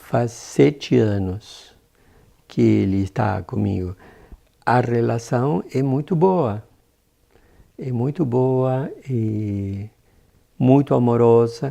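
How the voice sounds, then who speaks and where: Talking with a non-native accent, a man with a dark, mellow tone uses lively intonation and takes long, frequent pauses. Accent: foreign accent in Portuguese. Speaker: adoptive parent. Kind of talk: documentary interview.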